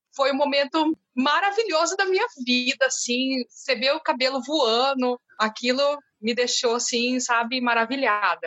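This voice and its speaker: Lively intonation at a fairly slow pace, with very even loudness throughout. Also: woman, high pitch for a woman. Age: 30s. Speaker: municipal education worker. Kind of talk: recorded testimony.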